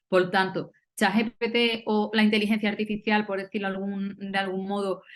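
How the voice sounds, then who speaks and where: With an Andalusian accent, a woman at medium pitch speaks at a fairly quick pace in a monotone, flat intonation. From Andalusia, southern Spain. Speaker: university philologist, panel speaker. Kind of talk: academic round-table talk. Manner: hesitant, many fillers.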